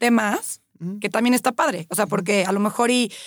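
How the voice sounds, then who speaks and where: A woman's medium-pitched voice with ordinary pitch variation, a normal speaking voice, in a dry, close recording with no echo and a very clean, silent background. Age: 30s. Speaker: personal trainer. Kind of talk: casual chat.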